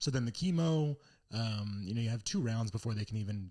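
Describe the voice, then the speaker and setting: Speaking at a very fast pace, a man has a fairly low pitch. His voice comes across as somewhat breathy. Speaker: stand-up comedian. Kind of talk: casual chat. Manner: animated.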